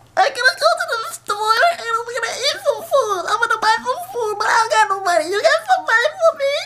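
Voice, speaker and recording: A woman in a put-on character voice, extremely high in pitch, at a fairly quick pace with hardly any pauses. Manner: crazy, scary.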